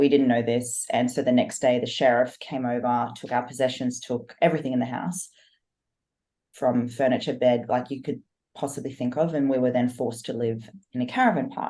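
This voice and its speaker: Here a woman speaks fairly quickly in an Australian accent, her pitch very deep and low. Her tone is dark and mellow, with fairly even intonation. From Australia, Sydney. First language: German. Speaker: fitness coach and online entrepreneur. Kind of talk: podcast interview.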